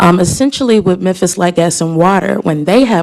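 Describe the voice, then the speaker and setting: Noticeable background noise runs under the voice. The pitch shows ordinary variation. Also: woman. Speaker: community advocate. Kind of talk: public comment presentation. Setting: government committee meeting.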